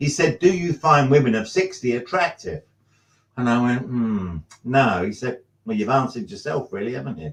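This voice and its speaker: A man speaks at a moderate pace with a medium pitch and a somewhat breathy quality. His pitch swings very widely. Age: 70s. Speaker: drummer. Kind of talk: casual chat. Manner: halting.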